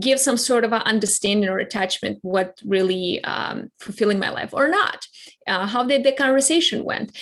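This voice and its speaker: A woman with a non-native accent talks at a fairly high pitch with ordinary pitch variation over noticeable background noise. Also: moderate pace. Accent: foreign. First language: not English (English her third language). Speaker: clarity coach, keynote speaker. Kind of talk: interview. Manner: halting.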